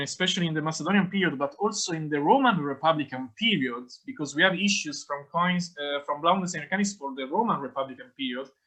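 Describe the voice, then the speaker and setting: Speaking at a fairly quick pace, a man uses a high voice with lively intonation. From Italy. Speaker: academic conference speaker. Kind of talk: academic Q&A answer. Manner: halting.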